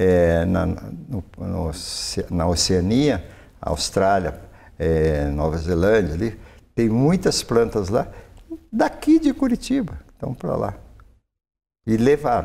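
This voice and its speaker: The speech is very slow, with long, frequent pauses. Its tone is dark and mellow, and its intonation is lively. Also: man, fairly low pitch for a man. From Minas Gerais, Triângulo Mineiro (Brazil); Minas Gerais, Brazil. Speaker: retired forestry professor; invited professor guest. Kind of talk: interview. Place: studio. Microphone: lapel.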